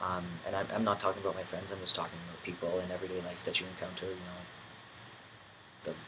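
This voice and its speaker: A man races along at a very fast pace. His pitch is very deep and low, with noticeable background noise. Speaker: vlogger. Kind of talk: video diary. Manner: halting, many fillers.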